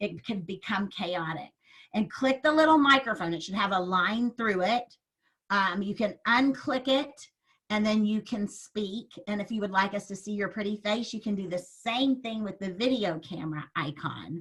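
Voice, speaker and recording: Her pitch sits in the middle of a woman's range, and she talks at a moderate pace with lively intonation. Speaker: network marketing presenter. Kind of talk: sales presentation on a video call. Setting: video call. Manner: hesitant, many fillers.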